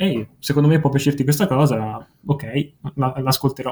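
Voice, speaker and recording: Here a man talks at a fairly slow pace. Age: young. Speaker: music webzine writer and video maker. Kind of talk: casual chat. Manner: halting.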